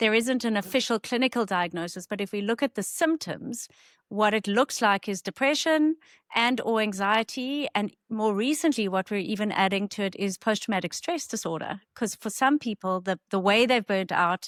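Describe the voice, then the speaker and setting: In a South African accent, a woman speaks at a moderate pace with a fairly high pitch and lively intonation, recorded very cleanly against a silent background. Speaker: clinical psychologist. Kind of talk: interview.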